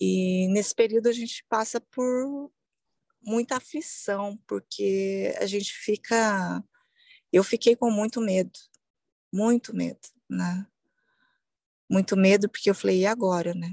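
Very slowly and with long, frequent pauses, a woman with a dark, mellow tone speaks at a medium pitch with ordinary pitch variation, recorded dry and close with no echo over a quiet background. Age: 40s. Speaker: breast cancer survivor. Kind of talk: testimony.

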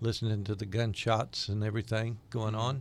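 The recording is very clean, with a silent background. A man speaks at a fairly slow pace with a Southern US accent. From US South, Jacksonville, Florida. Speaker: microchurch leader. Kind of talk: interview.

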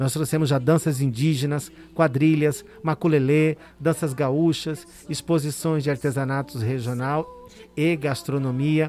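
A man's fairly high-pitched voice, a normal speaking voice, at a fairly slow pace, with very even loudness and fairly even intonation. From Brazil, Cuiabá, Mato Grosso. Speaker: podcast host, cultural association founder. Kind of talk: podcast narration.

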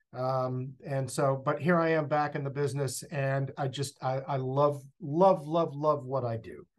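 A man speaks with an American accent and hardly any pauses. His intonation is fairly even. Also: fairly high pitch for a man, fairly slow pace. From Northeast Texas. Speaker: school district communications director. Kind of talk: interview. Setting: office.

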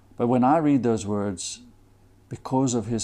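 A man speaks with a dark, mellow tone. Audible room echo accompanies his moderate pace. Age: 40s. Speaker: pastor. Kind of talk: sermon.

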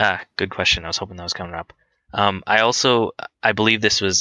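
In a normal speaking voice, a man speaks at a fairly low pitch with fairly even intonation. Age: 20s. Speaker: podcast subject interviewed about his life. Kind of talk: casual interview. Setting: call.

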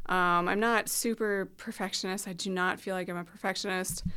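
With an Upper Midwest accent, a woman is heard on a very clean recording with a silent background. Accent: Upper Midwest American. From small-town Minnesota. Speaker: astrology podcast co-host. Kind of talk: casual chat. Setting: home basement studio.

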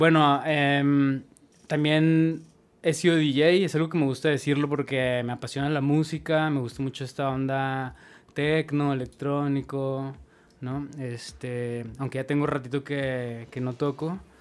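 At a fairly slow pace, a man talks in a fairly high pitch. His intonation stays monotone and flat. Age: 30s. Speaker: photographer and DJ. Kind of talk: casual chat.

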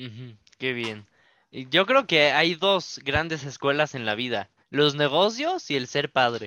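A man speaks at a very slow pace with a fairly high pitch. His intonation is lively and his tone bright and sharp. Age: young. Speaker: podcast host. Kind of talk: casual interview.

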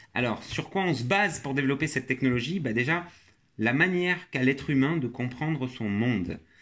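A man's normal speaking voice at medium pitch, ordinary pitch variation and a fairly quick pace. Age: 30s. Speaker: tech company CEO. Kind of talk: interview.

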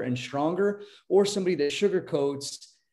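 Ordinary pitch variation runs through a tone that is dark and mellow. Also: man. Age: 40s. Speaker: life coach and podcaster. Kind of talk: casual interview.

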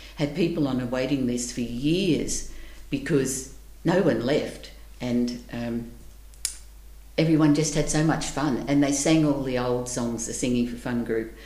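A woman with an Australian accent and a very deep, low pitch, moderate pace, ordinary pitch variation, and audible room echo. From Queensland, Australia. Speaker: community organisation leader, retiree. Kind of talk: casual interview.

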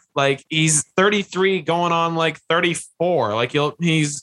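A man speaks at a fairly high pitch with a bright, sharp tone and fairly even intonation, recorded with a dry, close sound that has no echo. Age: 20s. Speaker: sports podcast co-host. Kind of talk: casual chat.

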